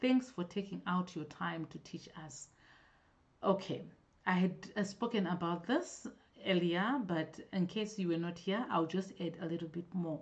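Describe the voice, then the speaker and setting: A woman talks at a moderate pace in a fairly low pitch, with ordinary pitch variation and a somewhat breathy quality. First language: not English. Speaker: natural hair vlogger. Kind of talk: live-stream Q&A. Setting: live stream. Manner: halting, self-correcting.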